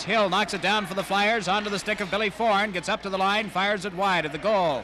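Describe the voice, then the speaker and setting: A raised, projected male voice at a high pitch and a very fast pace, over noticeable background noise. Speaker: radio hockey play-by-play announcer. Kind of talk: live radio sports play-by-play commentary. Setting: radio broadcast from a hockey arena. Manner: fast, energetic.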